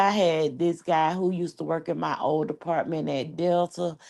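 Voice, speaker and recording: A woman's animated voice over a quiet background. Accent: American. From New York. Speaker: YouTuber. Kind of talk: casual chat.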